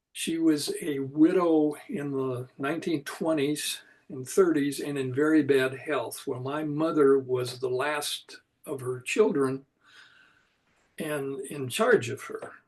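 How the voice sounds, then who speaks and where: A man with a fairly high voice speaks at a very slow pace. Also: ordinary pitch variation. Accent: American. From US Midwest, southwest Iowa. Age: 80s+. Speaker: retired chiropractor. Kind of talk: interview.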